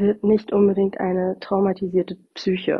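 At a fairly slow pace, a woman speaks with a medium pitch and a somewhat breathy quality. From northern Germany. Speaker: podcast host, bereavement doula and coach. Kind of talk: solo podcast talk. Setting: recording at her parents' home. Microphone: without her usual microphone, sound differs.

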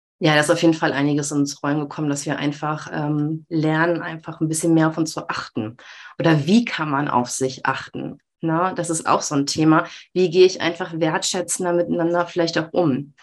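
This woman's pitch is very deep and low. She keeps her intonation fairly even. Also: moderate pace. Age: 30s. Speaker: mother, self-employed former social worker. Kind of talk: interview.

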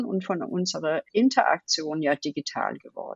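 In a Danish accent, a woman talks at a moderate pace, the sound dry and close with no echo. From Denmark. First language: Danish (speaking German). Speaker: design leader. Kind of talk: interview. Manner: hesitant, many fillers.

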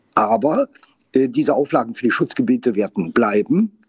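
Using lively intonation, a man speaks fairly slowly in a fairly high voice. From Saar region, Germany. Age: 60s. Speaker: winemaker. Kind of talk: casual interview. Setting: on location at winery.

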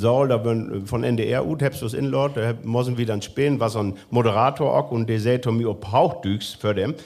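There is noticeable background noise behind this voice. A man talks at a moderate pace with medium pitch. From northwest Germany, near Osnabrück. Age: 40s. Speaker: musician. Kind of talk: casual chat. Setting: stage with audience.

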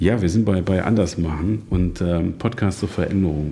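There is noticeable background noise. A man speaks with a very deep, low pitch. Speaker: podcast host. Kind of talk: casual interview. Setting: guest's dining room, mobile studio.

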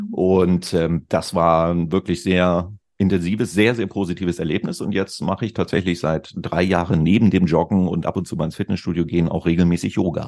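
Against a quiet background, someone speaks at a moderate pace with fairly even intonation and hardly any pauses. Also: man, very deep, low pitch for a man. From Lower Saxony, northern Germany (Celle). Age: 50s. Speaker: digital consultant, former radio host. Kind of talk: casual chat.

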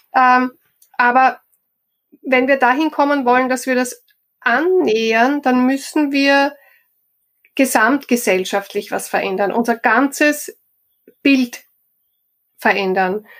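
This woman's high voice moves at a very slow pace with ordinary pitch variation. Long, frequent pauses break up her speech. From Austria, Styria. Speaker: HR professional and coach. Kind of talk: interview.

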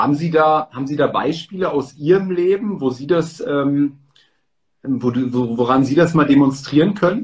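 At a fairly slow pace, an unremarkable speaking voice moves through ordinary pitch variation. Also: man. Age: 30s. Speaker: stock and real estate content creator, interviewer. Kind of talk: interview. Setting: livestream.

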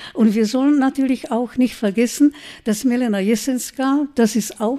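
A woman speaks with a Czech accent. Her pitch is fairly high and her tone dark and mellow. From Czech Republic, Brno. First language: Czech (speaking German). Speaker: writer and journalist. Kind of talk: lecture. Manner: halting.

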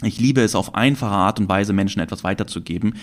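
This man talks very fast, and his intonation stays fairly even. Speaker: trading podcast host. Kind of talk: solo podcast monologue. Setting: recording with camera. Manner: spontaneous, with fillers and restarts.

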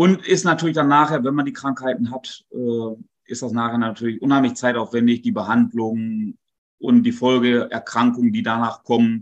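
This man has a plain, everyday voice. He keeps to a moderate pace. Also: medium pitch for a man, ordinary pitch variation. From North Rhine-Westphalia near Dutch border. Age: 40s. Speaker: dairy farmer. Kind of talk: interview.

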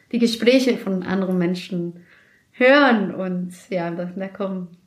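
With a Spanish accent, a woman speaks with ordinary pitch variation. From Mexico City, Mexico. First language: Spanish (speaking German). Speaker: office worker, immigrant. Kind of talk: casual interview.

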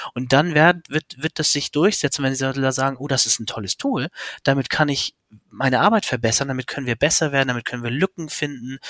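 Fairly high-pitched, a man talks at a fairly quick pace with ordinary pitch variation in an ordinary speaking voice. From Hamburg, northern Germany. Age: 30s. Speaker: business consultant, requirements engineer. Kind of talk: interview.

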